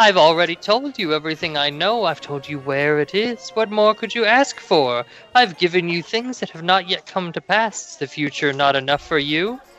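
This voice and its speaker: A put-on character voice cackles at a moderate pace with hardly any pauses, music playing in the background. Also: man, high pitch for a man. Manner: cackling, cryptic.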